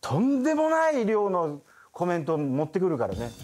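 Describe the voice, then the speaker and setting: Pitched fairly high, a man's voice moves in very wide pitch swings. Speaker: voice actor. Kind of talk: casual talk. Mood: joking, mock-exasperated. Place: studio.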